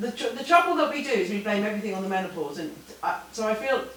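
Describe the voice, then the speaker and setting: A woman's fairly high voice carries audible room echo and noticeable background noise. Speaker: professor. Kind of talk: Q&A answer; lecture.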